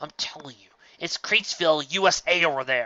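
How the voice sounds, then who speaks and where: A man puts on a character voice with a fairly high pitch. He talks at a fairly quick pace. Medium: read story. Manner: excitable, fast, exclamatory.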